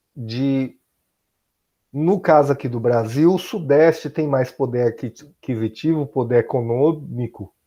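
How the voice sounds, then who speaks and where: Dark and mellow in tone, a man speaks at a fairly high pitch. His pace is very slow. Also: quiet background. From Bahia, Brazil. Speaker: high school teacher. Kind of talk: recorded class lesson.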